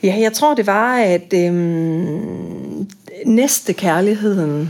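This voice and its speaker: A woman speaks at a very slow pace with a medium pitch and ordinary pitch variation. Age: 50s. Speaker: boarding school teacher and psychotherapist. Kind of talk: interview about faith.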